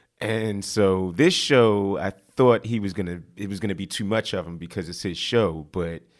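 A man with a normal speaking voice, pitched fairly low, with ordinary variation in pitch, recorded very cleanly against a silent background. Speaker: podcast host. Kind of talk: casual chat. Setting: studio.

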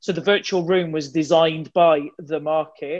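Against a quiet background, a woman speaks at a fairly low pitch with monotone, flat intonation. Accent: West Midlands. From Wolverhampton, West Midlands England. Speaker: insurance digital executive. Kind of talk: panel discussion.

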